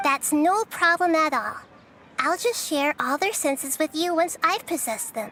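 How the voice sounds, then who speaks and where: This female-sounding voice is a put-on character voice with an extremely high pitch for a woman. It moves along at a moderate pace. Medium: video game.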